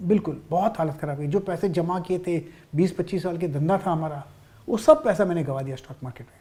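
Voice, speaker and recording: The voice has a dark, mellow tone and a moderate pace. Its loudness swings widely, while pitch variation stays ordinary. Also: man, high pitch for a man. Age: 60s. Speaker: stock market trader. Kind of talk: interview testimony.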